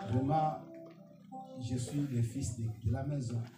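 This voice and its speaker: With music playing behind him and audible echo in the room, a man speaks at a very slow pace. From Angola. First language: Portuguese (speaking French). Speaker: pastor. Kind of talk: sermon. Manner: halting.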